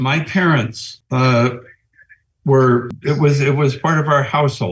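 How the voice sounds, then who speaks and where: With an American accent, a man speaks at a fairly high pitch, his intonation fairly even and his voice somewhat breathy. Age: 80s+. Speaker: panel guest. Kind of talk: panel discussion.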